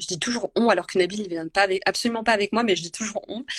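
Her voice is an unremarkable speaking voice, a woman's at medium pitch, with fairly even intonation. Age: 30s. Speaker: food and travel content creator. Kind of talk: casual chat. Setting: Instagram live video call.

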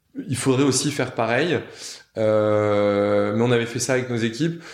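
Audible room echo surrounds a man who speaks at medium pitch with ordinary pitch variation. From northern France. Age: 30s. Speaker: company founder. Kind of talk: casual interview. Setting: office room. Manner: halting, many fillers and repetitions.

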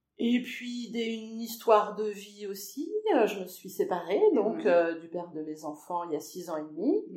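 With audible room echo, a woman speaks at a moderate pace with hardly any pauses. Her medium-pitched voice has lively intonation and big swings in loudness. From western France (Angers, Anjou). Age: 50s. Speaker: social care worker, former secretary. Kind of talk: interview. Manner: hesitant.

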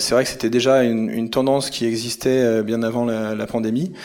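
A man speaks at a moderate pace in a medium-pitched voice. His intonation is monotone and flat. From France, Grenoble area. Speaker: company founder. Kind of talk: podcast interview. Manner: halting, with repeated words and fillers.

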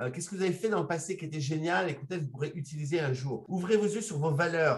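A man with a high pitch and lively intonation. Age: 50s. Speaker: legal coach and lawyer. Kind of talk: podcast discussion.

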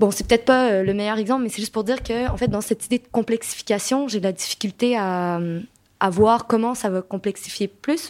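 Her loudness swings widely as a woman speaks fairly quickly at a fairly high pitch with ordinary pitch variation, in a dry, close sound with no echo. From Quebec. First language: English (speaking French). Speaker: nonprofit co-director. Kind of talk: moderated debate. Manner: halting.

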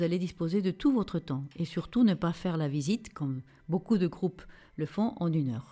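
Against a very clean recording with a silent background, a woman with a Spanish accent speaks at a fairly quick pace, her fairly low pitch and dark, mellow tone carried by lively intonation. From Peru, Lima. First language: Spanish (speaking French). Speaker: travel designer. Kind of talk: travel storytelling.

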